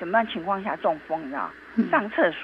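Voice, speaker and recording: A woman speaks at a moderate pace. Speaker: traditional Chinese medicine doctor. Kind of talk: interview. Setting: remote call. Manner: halting, repeats words.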